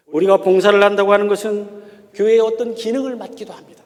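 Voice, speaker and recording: A man with a slight Chungcheong accent talks in a high pitch. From Korea, Chungcheong (Gongju). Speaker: pastor and theology professor. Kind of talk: sermon. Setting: church.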